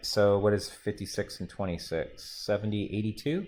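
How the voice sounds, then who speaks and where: A man's ordinary speaking voice at a moderate pace, on a very clean recording with a silent background. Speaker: math teacher. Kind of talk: classroom lecture.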